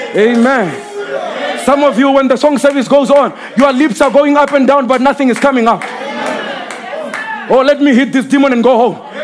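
Over crowd noise in the background, a man with an extremely high pitch speaks at a moderate pace in an animated tone with ordinary pitch variation. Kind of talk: sermon. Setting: church with live congregation. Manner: animated, call-and-response preaching, scolding the congregation with vivid imagery.

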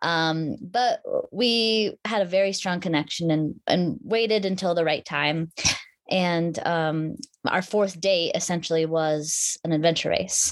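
A woman with a plain, everyday voice and an American accent speaks at a fairly slow pace in a fairly low pitch, with ordinary pitch variation and very even loudness, on a very clean recording with a silent background. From Alaska (Anchorage). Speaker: adventure racer and mountain bike champion. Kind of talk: casual interview chat.

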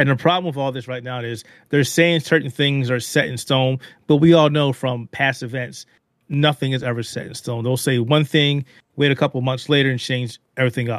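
Fairly quick male speech at medium pitch, an unremarkable speaking voice with fairly even intonation. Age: 40s. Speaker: video game and technology journalist. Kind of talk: casual chat.

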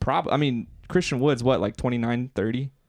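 A man talks at a moderate pace with medium pitch and fairly even intonation. His is an unremarkable speaking voice. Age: 20s. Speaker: basketball podcast co-host. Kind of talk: casual chat.

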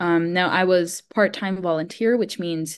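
A woman speaks at a moderate pace in a fairly low voice with ordinary pitch variation. She has an unremarkable speaking voice, and the background is quiet. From US, Miami, Florida. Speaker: screenwriter and filmmaker. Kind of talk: casual chat.

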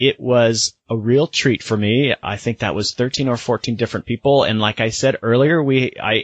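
The man's voice sits at a medium pitch and keeps a fairly even intonation. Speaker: podcast host. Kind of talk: casual chat.

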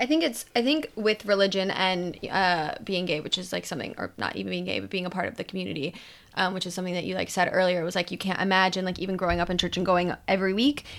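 A woman at medium pitch talking at a very fast pace, with hardly any pauses. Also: ordinary pitch variation. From US Midwest, Ohio. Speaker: podcast guest. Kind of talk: casual chat.

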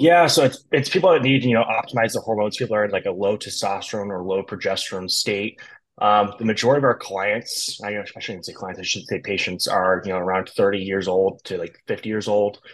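A man speaks in a normal speaking voice at a fairly low pitch with ordinary pitch variation. His pace is fairly quick, with hardly any pauses. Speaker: lab services business representative. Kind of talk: casual podcast interview.

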